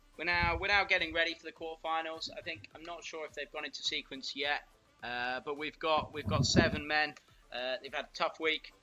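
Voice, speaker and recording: A man with a plain, everyday voice, fairly high in pitch, at a fairly quick pace with ordinary pitch variation. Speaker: windsurf coach. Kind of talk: live commentary. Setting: live stream.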